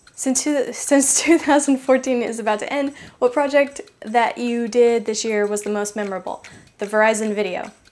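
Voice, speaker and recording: A woman speaks with an American accent. Her pitch is high. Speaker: DIY craft youtuber. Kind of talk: Q&A vlog.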